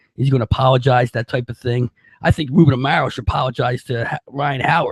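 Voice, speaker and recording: This man talks at a very fast pace. His delivery is somewhat breathy and his intonation fairly even. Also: medium pitch for a man, dry, close sound with no echo. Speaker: sports talk show host. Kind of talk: casual sports talk.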